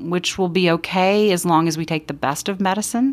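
A woman speaks with an American accent at a fairly slow pace. Her pitch varies in an ordinary way, and the recording is very clean with a silent background. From Texas, Austin. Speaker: public health official. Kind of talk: interview. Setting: conference in San Francisco.

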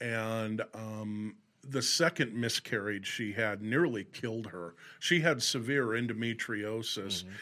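A man talks at a fairly slow pace with a medium pitch, ordinary pitch variation and a bright, sharp tone. The recording is very clean, with a silent background. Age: 50s. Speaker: former radio host, weather website operator. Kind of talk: casual chat.

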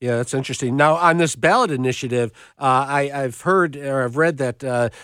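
The recording is very clean, with a silent background. A man talks at a moderate pace in a medium pitch, using a normal speaking voice. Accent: American. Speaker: radio host. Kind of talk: live radio talk show. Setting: radio studio.

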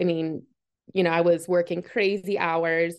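A woman's plain, everyday voice with an American accent, fairly low in pitch, at a moderate pace and with fairly even intonation. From Massachusetts. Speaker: football coach's wife, engineer, author. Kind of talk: interview. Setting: video call.

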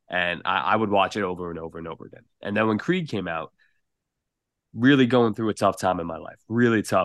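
Against a quiet background, a man with a New York accent talks at a fairly quick pace and fairly low pitch, with ordinary pitch variation and a dry, close sound with no echo. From New York, about fifty minutes north of the Bronx. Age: 20s. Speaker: content creator. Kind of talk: podcast interview.

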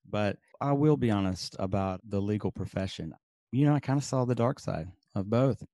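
A dark, mellow tone carries a slight Southern US accent with lively intonation at a fairly quick pace. The sound is dry and close with no echo, over a quiet background. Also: man. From Birmingham, Alabama. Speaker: papermaker and podcaster, former lawyer and professor. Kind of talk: casual interview chat.

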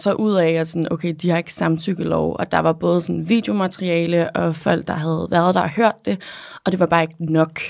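A normal speaking voice goes at a moderate pace. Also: woman. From Amager, Copenhagen. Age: 20s. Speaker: model and activist. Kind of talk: interview. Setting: studio.

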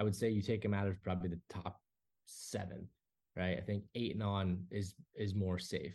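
At a moderate pace, a man with a fairly low pitch speaks in a dark, mellow, somewhat breathy tone, his intonation monotone and flat. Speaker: podcast host. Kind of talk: casual sports podcast chat.

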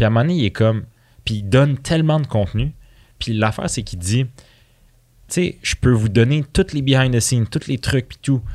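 Man's voice with lively intonation at a moderate pace, on a very clean recording with a silent background. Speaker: entrepreneur. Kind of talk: casual chat. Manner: relaxed, soft.

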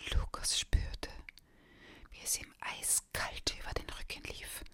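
Whispering at a very slow pace in a menacing tone, the speaker is heard over noticeable background noise. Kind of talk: scripted audiobook narration, ASMR-style ghost story telling. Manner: hushed, whispery, slow and suspenseful; changes voice for menacing hissing, growling characters.

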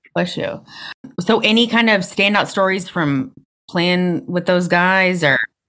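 A woman with an American accent speaks at medium pitch and a fairly slow pace. Her tone is bright and sharp, with ordinary pitch variation. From North Carolina. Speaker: podcast host. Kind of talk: interview. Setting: video call.

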